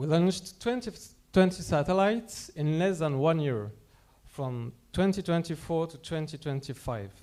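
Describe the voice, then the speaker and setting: A man with a French accent speaks at a moderate pace in a dark, mellow tone, his fairly high pitch moving with lively intonation and big swings in loudness. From France. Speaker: company representative presenting at a conference. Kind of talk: conference presentation.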